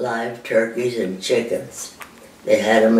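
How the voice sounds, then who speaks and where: A woman speaks at a very slow pace, with audible echo from the room. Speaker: elderly interviewee recalling history. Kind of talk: interview answer. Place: home room.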